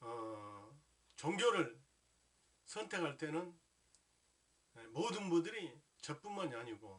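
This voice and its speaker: Very slow and broken by long, frequent pauses, a man speaks at a fairly high pitch with very wide pitch swings. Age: 60s. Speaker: Buddhist lay teacher. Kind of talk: religious talk. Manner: formal; halting, many fillers.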